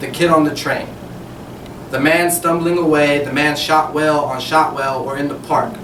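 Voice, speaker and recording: The voice belongs to a man with a fairly high pitch. Background noise is noticeable. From San Francisco. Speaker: spoken word poet. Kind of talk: spoken word poetry performance.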